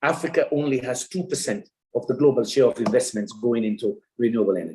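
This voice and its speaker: A man speaks at a fairly quick pace in a fairly high, somewhat breathy voice. His tone is dark and mellow, and his intonation is lively. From Sierra Leone. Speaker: development economist. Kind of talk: keynote lecture.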